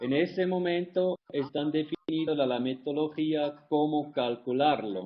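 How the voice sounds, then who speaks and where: With a non-native accent and a fairly high pitch, a man talks at a fairly slow pace with ordinary pitch variation, very even loudness and hardly any pauses. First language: not Spanish (speaking Spanish). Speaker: environmental consultant. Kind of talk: webinar Q&A. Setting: online webinar. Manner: halting.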